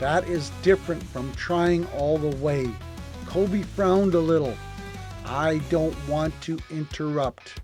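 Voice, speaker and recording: With music in the background, a man with a fairly high pitch speaks at a very slow pace and ordinary pitch variation. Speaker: storyteller. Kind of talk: bedtime story reading. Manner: warm, gentle.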